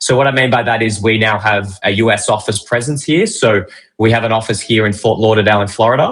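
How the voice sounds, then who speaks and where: Very fast male speech with fairly even intonation and very even loudness. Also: medium pitch for a man. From Australia, Melbourne. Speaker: crypto brokerage representative. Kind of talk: interview explaining a service.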